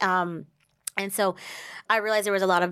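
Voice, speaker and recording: In a very clean recording with a silent background, a woman with an American accent talks at a fairly quick pace in an unremarkable speaking voice, her intonation fairly even. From US Northeast (central New Jersey). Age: 30s. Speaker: wine sales representative and consultant. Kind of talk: casual interview.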